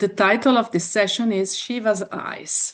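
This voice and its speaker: Over a quiet background, a woman talks with an Italian accent. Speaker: yoga teacher. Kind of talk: online workshop talk. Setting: video call.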